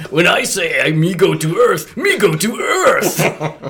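Fairly slow pace in a put-on character voice from a man. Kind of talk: broken grammar. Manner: goofy, cartoonish.

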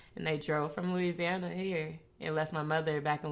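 With an American accent, a woman speaks fairly quickly in a very deep, low pitch and fairly even intonation. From Federal Way, Seattle area, Washington. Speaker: podcast co-host, entrepreneur. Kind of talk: casual chat.

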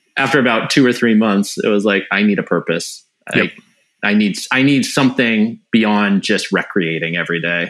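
A man with an American accent and an unremarkable speaking voice, fairly low in pitch, with ordinary pitch variation at a moderate pace. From US Pacific Northwest (Wenatchee, Washington). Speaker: firefighter and former professional cyclist. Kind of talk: casual interview chat.

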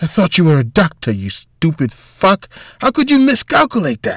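A man puts on a character voice, high-pitched and fairly bright with a slightly husky edge, at a moderate pace. His pitch swings very widely, and the sound is dry and close with no echo.

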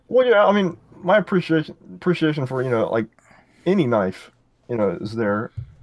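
With very wide pitch swings, a man talks at a fairly quick pace in a fairly high pitch. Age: 20s. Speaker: knife designer. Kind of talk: interview.

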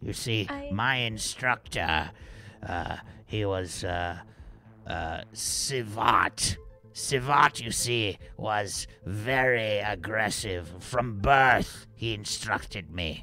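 Over faint music in the background, a man puts on a character voice at a medium pitch and a very slow pace. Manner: haughty, boastful.

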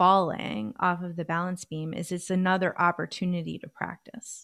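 At a fairly slow pace, a woman speaks at a medium pitch in a plain, everyday voice. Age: 40s. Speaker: life coach and flutist. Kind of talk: casual chat. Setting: video call.

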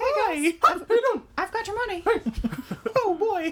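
This is a put-on character voice at an extremely high pitch. It moves at a fairly slow pace. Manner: cheerful.

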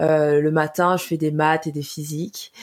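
A woman with very deep, low pitch on a very clean recording with a silent background. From Cameroon. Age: 20s. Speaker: podcast co-host. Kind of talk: casual podcast introduction.

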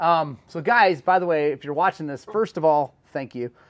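A man with an American accent and an ordinary speaking voice, fairly high in pitch, at a moderate pace, in a dry, close sound with no echo. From Oklahoma. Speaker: podcast host. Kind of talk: casual chat.

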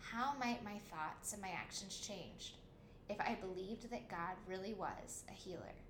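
A woman's medium-pitched voice at a fairly slow pace, with ordinary pitch variation, noticeable background noise and audible room echo. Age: 30s. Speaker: podcast host and author. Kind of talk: scripted narration.

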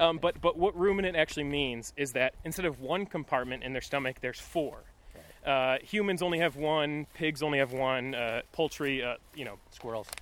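An ordinary speaking voice keeps a moderate tempo and normal rise and fall in pitch. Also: man, fairly high pitch for a man. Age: 20s. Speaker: podcast host. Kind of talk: casual chat. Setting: outdoors.

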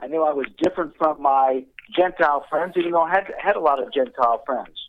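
Using a plain, everyday voice, a man with an American accent speaks at a moderate pace in a fairly high pitch with ordinary pitch variation. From Indianapolis, US Midwest. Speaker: ministry worker. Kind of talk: testimony.

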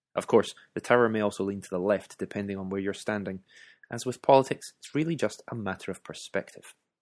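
Speaking very fast in a Scottish accent, a man with a fairly low pitch and ordinary pitch variation is captured in a very clean recording with a silent background and a dry, close sound with no echo. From Scotland. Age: 30s. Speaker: author and podcaster. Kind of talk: scripted narration.

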